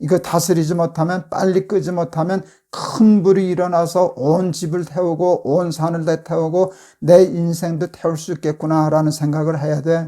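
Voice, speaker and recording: A man with a high pitch and a dark, mellow tone speaks in a monotone, flat intonation at a moderate pace, captured in a very clean recording with a silent background. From South Korea, born in Busan to northern refugee parents. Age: 70s. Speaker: pastor. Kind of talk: devotional talk to youth. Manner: casual, grandfatherly banmal with hesitations.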